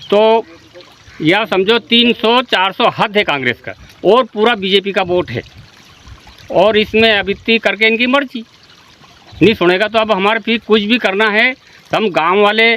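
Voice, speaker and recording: Heard in a dry, close sound with no echo, a man with a high-pitched voice speaks with long, frequent pauses. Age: 60s. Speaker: villager. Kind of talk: street interview.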